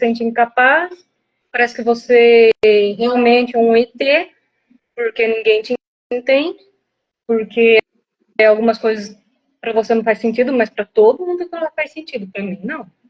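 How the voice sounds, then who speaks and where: The speech has a moderate pace, ordinary pitch variation, and long, frequent pauses. The sound is dry and close, with no echo. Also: woman, fairly high pitch for a woman. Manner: blunt, firm.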